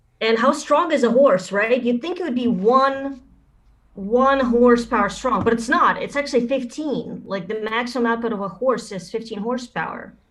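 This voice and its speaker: A woman talks at a moderate pace in a high pitch. Her pitch varies in an ordinary way. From Russia. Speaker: stand-up comedian. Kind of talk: stand-up.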